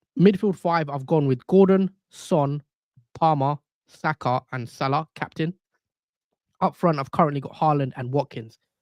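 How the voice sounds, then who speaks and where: With a British accent, a man speaks at a moderate pace and a fairly high pitch, his pitch varying in an ordinary way in a dry, close recording with no echo. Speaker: fantasy football streamer. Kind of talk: live stream chat. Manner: casual, conversational.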